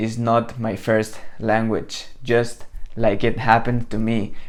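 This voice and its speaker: A man speaks with a Spanish accent at a very slow pace. His intonation stays fairly even. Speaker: copywriting coach. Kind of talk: tutorial. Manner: casual, conversational.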